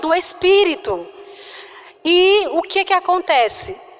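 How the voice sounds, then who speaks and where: A soft-spoken voice with very wide pitch swings comes through noticeable background noise. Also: woman. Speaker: preacher. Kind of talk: sermon.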